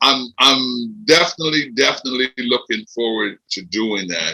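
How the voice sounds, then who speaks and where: A man with an American accent, medium pitch and a bright, sharp tone. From Philadelphia, US East Coast. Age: 70s. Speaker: former boxing and MMA event handler. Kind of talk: podcast interview. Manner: animated.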